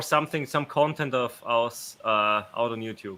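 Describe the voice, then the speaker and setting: This man speaks with an Austrian accent and a bright, sharp tone. His pace is moderate, with ordinary pitch variation. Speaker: YouTube channel co-host. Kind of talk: live stream chat. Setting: live stream.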